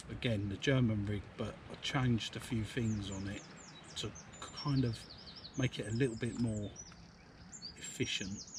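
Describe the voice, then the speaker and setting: A man with an English accent, fairly low pitch and fairly even intonation at a moderate pace, over noticeable background noise. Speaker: fishing vlogger. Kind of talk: casual vlog commentary. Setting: outdoors. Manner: soft-spoken.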